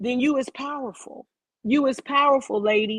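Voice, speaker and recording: A woman speaks loudly in a dramatic, animated tone at a high pitch with ordinary pitch variation. The sound is dry and close, with no echo. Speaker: video podcast host. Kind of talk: casual rant. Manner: loud, emphatic.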